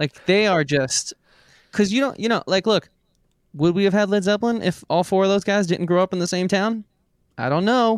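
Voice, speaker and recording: The recording is very clean, with a silent background and a dry, close sound with no echo. A man with a high pitch, ordinary pitch variation and very even loudness leaves long, frequent pauses. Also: moderate pace. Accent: American. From New York, the Bronx. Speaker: podcast co-host, musician. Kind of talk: casual chat.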